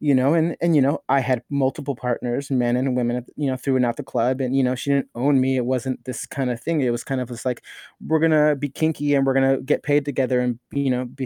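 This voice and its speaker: A man with an American accent talks at a very fast pace with hardly any pauses, using a medium pitch and a dark, mellow tone. The recording is very clean with a silent background, and the sound is dry and close with no echo. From Los Angeles area (Norwalk), California. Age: 30s. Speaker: leather titleholder, performer. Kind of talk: casual interview.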